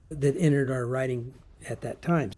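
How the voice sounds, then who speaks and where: The man's voice is somewhat breathy, with a dark, mellow tone. His pitch varies in an ordinary way. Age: 70s. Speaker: affiliate marketer, former juvenile hall teacher. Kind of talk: casual talk to camera. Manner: hesitant, conversational.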